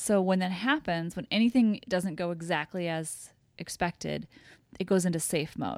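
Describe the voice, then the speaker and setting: In a very clean recording with a silent background, a woman speaks with a Midwestern US accent. Her fairly low pitch shows ordinary variation at a moderate pace. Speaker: podcast co-host. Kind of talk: casual chat.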